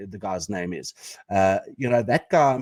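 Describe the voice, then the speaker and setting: A man speaks with an Afrikaans accent at medium pitch and a fairly slow pace. His intonation is lively, and the sound is dry and close with no echo. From South Africa, Pretoria. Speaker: podcast co-host. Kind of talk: casual chat.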